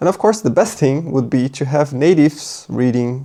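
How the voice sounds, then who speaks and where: The speaker has a Portuguese accent. The pace is moderate. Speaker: Japanese language teacher. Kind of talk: tutorial. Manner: casual, thinking aloud.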